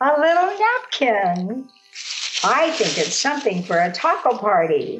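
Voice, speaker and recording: Over music in the background, the voice has a gentle tone and very even loudness. Its pitch swings very widely at a fairly slow pace. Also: woman, high pitch for a woman. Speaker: grandmother storyteller. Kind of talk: personal memory storytelling to camera.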